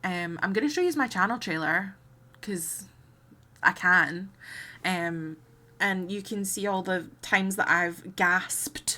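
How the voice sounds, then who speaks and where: A woman's medium-pitched, bright, sharp voice at a fairly slow pace, with ordinary pitch variation and long, frequent pauses. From Scotland, between Glasgow and Edinburgh. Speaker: video game streamer. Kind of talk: casual live stream chat. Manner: animated.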